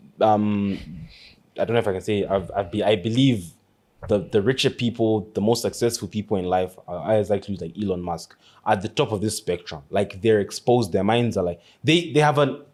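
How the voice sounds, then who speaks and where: His pitch is fairly low for a man. He moves at a fairly quick pace. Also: ordinary pitch variation. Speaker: podcast co-host. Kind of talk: casual chat. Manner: halting.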